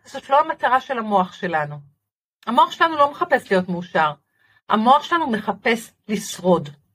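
In a bright, sharp tone, a woman talks at a fairly slow pace with a fairly high pitch and very wide pitch swings. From Israel, Haifa. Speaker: positive thinking lecturer and author. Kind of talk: casual interview.

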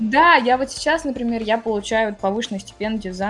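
A woman talks at a moderate pace, her pitch varying in an ordinary way, with music in the background. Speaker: university student and career guidance staff. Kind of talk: interview. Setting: remote call.

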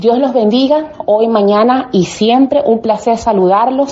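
A woman with a Venezuelan accent at a fairly slow pace, music in the background. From Venezuela, Maracay. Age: 40s. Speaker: business consultant. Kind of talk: motivational talk.

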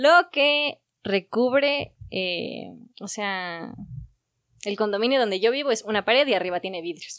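In a quiet background, a woman with an ordinary speaking voice talks fairly slowly, her fairly high pitch carried by lively intonation. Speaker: podcast host. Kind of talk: casual chat among friends.

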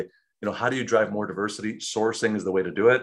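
A man talks with an American accent. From Chicago, South Side. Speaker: tech company founder. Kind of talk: interview.

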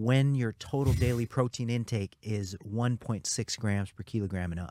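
A man speaks in a normal speaking voice, fairly low in pitch with ordinary pitch variation. His pace is moderate, and the recording is very clean with a silent background. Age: 50s. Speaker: nutrition researcher. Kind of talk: casual chat. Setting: studio.

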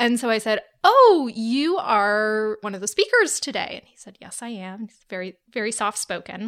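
On a very clean recording with a silent background, a woman with an ordinary speaking voice, a fairly high pitch and ordinary pitch variation talks at a moderate pace with big swings in loudness. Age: 30s. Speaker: podcast guest. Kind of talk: casual chat.

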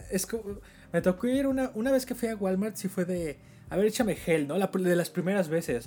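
Very fast and high-pitched, a man speaks with a Mexican accent, a dark, mellow tone and lively intonation. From Mexico. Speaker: podcast host. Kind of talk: casual chat.

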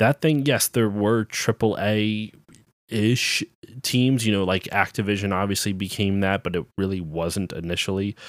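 At a moderate pace, a man with a plain, everyday voice talks at a fairly low pitch with ordinary pitch variation, the sound dry and close with no echo on a very clean recording over a silent background. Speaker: podcast host, game developer. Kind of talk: casual chat.

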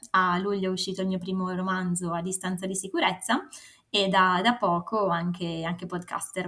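A woman speaks at a moderate pace and medium pitch in a bright, sharp tone. Her intonation is monotone and flat. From northern Italy, Varese. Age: 20s. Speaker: writer and consultant. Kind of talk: interview.

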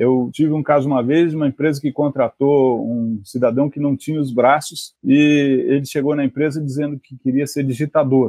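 This man has an unremarkable speaking voice, fairly high in pitch, and talks at a moderate pace. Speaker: appeals court judge. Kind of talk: interview.

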